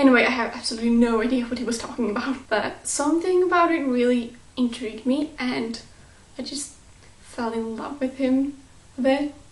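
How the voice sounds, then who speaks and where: A woman with a non-native accent, high in pitch with ordinary pitch variation, at a fairly quick pace, over noticeable background noise. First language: not English. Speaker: YouTube vlogger. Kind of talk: casual vlog.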